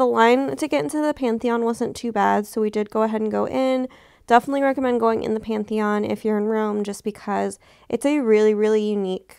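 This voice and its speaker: Talking at a fairly quick pace, the speaker has an American accent and ordinary pitch variation. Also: woman. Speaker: vlogger. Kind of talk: travel vlog with haul narration. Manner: animated.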